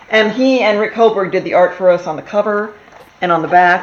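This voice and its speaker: A woman talks at a moderate pace with lively intonation against noticeable background noise. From Texas. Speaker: TV writer. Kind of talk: casual interview chat.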